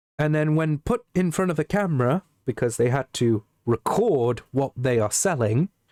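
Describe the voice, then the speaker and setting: With an English accent, a man speaks at a fairly high pitch and a fairly slow pace, his dark, mellow tone and lively intonation caught in a dry, close sound with no echo. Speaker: streamer. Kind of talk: casual chat. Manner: clear.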